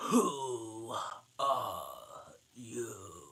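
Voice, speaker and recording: This is a put-on character voice. It comes out growling. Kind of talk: drawling, unhurried. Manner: languid, sleepy.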